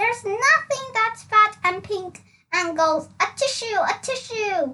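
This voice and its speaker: In a squeaky, put-on character voice, a woman talks fairly slowly at an extremely high pitch. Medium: read story. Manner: smug, scornful.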